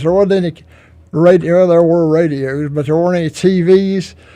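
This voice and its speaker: Pitched high, a man speaks in a dark, mellow tone at a moderate pace with fairly even intonation. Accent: Southern US. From US South, Iredell County, North Carolina. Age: 80s+. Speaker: local historian. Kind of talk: radio interview. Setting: radio studio.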